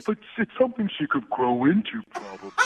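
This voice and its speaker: A put-on character voice, middle pitch, delivered at a fairly quick pace. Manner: dopey.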